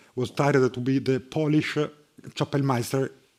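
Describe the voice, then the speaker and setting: In an Italian accent, a man with a fairly high pitch talks at a moderate pace with fairly even intonation. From Italy, Bologna. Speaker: harpsichordist and music professor. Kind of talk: lecture. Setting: conference hall with audience. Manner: halting, many fillers.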